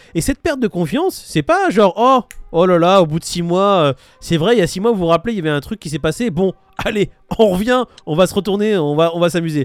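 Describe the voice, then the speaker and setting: The tone is animated and the pace fairly quick. Pitch varies in an ordinary way. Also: man, high pitch for a man. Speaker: crypto streamer. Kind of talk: casual chat. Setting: livestream.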